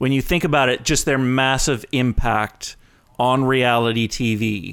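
A man with a Canadian accent speaks in a plain, everyday voice at a fairly high pitch. His intonation is lively and his pace fairly slow. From Canada. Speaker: podcast co-host, video and TV maker. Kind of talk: casual chat.

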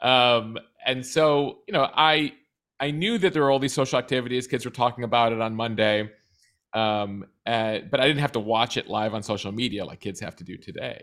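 In a plain, everyday voice, the speaker moves at a moderate pace with ordinary pitch variation and big swings in loudness. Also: man, medium pitch for a man. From US Midwest (suburban Chicago). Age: 40s. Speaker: news producer and podcast host. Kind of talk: interview, casual chat. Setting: video call.

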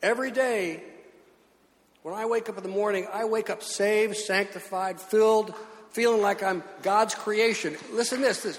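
A man's high-pitched voice at a moderate pace, fairly even in intonation, over noticeable background noise. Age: 70s. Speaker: pastor. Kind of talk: sermon. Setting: church.

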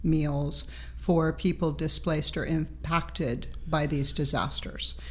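Audible room echo surrounds a woman as she talks fairly slowly. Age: 60s. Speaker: professional chef. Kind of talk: casual interview.

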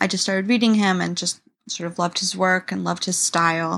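A woman's very fast, medium-pitched speech in a New York accent, in a very clean recording with a silent background. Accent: New York American. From US, New York City. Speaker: writer. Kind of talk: interview.

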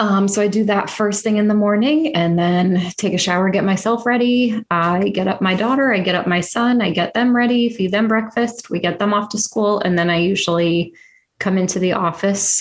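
At a moderate pace with hardly any pauses, a woman speaks at a medium pitch with ordinary pitch variation and very even loudness. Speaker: podcast host and swallowing specialist. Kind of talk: casual interview chat.

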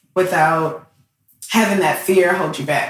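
Speaking at a fairly slow pace, a woman uses a plain, everyday voice with fairly low pitch and fairly even intonation. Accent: American. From Detroit, Michigan. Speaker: aerospace engineer and STEAM educator. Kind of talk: casual interview. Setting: in person at guest's home.

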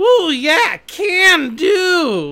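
Putting on a character voice, a man pushes his pitch extremely high. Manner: eager, enthusiastic.

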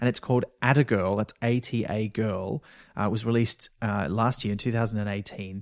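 A man with an Australian accent speaks at a fairly low pitch with fairly even intonation, on a very clean recording with a silent background and a dry, close sound with no echo. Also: moderate pace. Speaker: podcast co-producer and actor. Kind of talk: casual chat.

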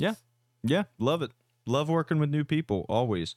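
A man's voice comes through dry and close with no echo. The recording is very clean, with a silent background. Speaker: fight promotion podcast co-host. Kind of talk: casual chat.

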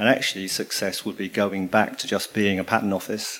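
A man with a plain, everyday voice speaks at a fairly quick pace and a fairly low pitch. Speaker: audience member asking question. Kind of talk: audience question. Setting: live event with audience.

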